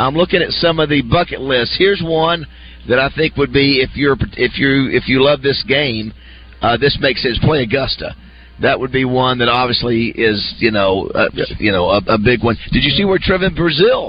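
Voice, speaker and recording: This man's voice sits at a medium pitch with vocal fry. His intonation is lively while his loudness stays very even. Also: moderate pace. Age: 30s. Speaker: radio host. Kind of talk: casual chat.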